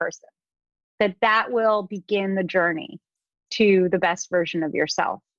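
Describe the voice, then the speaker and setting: A woman's plain, everyday voice, medium in pitch, with ordinary pitch variation and a dry, close sound free of echo. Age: 40s. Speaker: author and mindfulness teacher. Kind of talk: interview.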